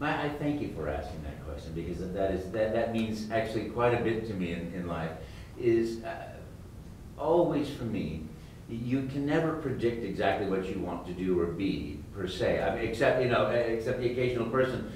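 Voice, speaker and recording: A man with an American accent at a moderate pace and medium pitch, in audible room echo with light background noise. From United States. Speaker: voice actor. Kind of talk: interview answer. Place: hall.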